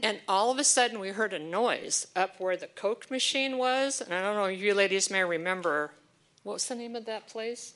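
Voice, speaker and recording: A woman at a medium pitch speaks at a moderate pace in an ordinary speaking voice, with ordinary pitch variation. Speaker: church member. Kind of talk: personal tribute.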